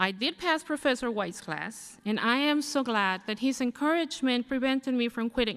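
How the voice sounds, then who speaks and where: A woman with a non-native accent, high pitch, lively intonation, a moderate pace and hardly any pauses. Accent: foreign. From abroad, immigrant to the US. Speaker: graduating student. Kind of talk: commencement speech. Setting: podium at graduation ceremony.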